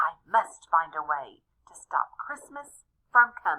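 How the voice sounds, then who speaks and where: Putting on a growling character voice, a woman speaks at a fairly high pitch and a fairly slow pace. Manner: growling, scheming.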